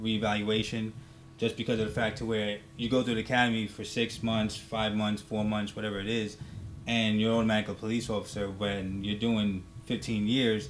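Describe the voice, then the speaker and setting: Fairly low in pitch, a man talks at a fairly quick pace with monotone, flat intonation. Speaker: military veteran and law enforcement officer. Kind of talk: casual talk show discussion. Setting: studio. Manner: normally loud, holding it down.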